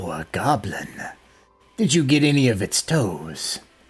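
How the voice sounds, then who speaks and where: A put-on character voice moves at a moderate pace. Its pitch swings very widely. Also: man, medium pitch for a man. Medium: actual play. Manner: cryptic, measured.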